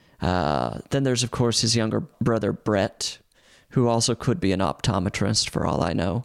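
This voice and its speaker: Lively in intonation yet very even in loudness, a man speaks at a moderate pace with a fairly low pitch and vocal fry. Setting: video call.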